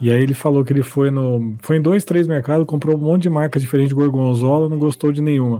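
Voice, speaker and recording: A man talking very fast with hardly any pauses, fairly high-pitched, very even in loudness and fairly even in intonation. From São Bernardo do Campo, São Paulo, Brazil. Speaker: podcast co-host. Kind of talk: casual chat.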